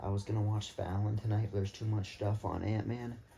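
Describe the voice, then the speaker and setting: There is noticeable background noise behind a man with a fairly low pitch. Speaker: vlogger. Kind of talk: casual vlog. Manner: animated; soft-spoken.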